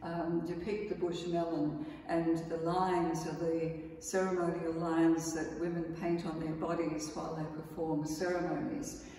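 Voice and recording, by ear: A woman speaks at low pitch and a fairly slow pace with little pitch movement, in audible room echo.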